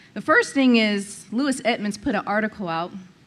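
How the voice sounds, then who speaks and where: A woman speaks in a medium pitch with ordinary pitch variation. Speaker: public commenter, former school board member. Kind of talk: public comment at meeting. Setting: public meeting with microphone. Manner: loud; confrontational.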